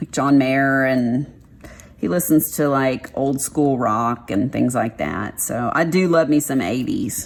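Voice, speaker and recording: With a Texas accent, a woman speaks fairly slowly in a very deep, low voice with vocal fry and ordinary pitch variation. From Texas, Dallas. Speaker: craft vlogger. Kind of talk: casual chat.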